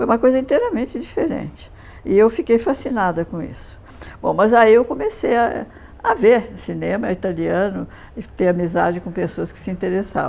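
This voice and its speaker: Noticeable background noise sits behind a woman with a fairly high pitch. She talks at a moderate pace with lively intonation. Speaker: interviewee, former cinema seminar student. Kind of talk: interview reminiscence.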